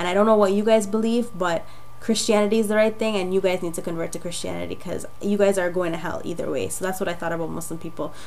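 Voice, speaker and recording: A woman with a medium pitch talks at a very fast pace with fairly even intonation, with audible room echo and noticeable background noise. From Jamaica. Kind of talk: testimony.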